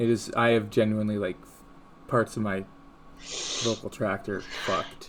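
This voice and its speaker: With music in the background, the speech is monotone and flat, broken by long, frequent pauses. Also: man, fairly low pitch for a man, moderate pace. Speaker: online content creator. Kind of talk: casual chat.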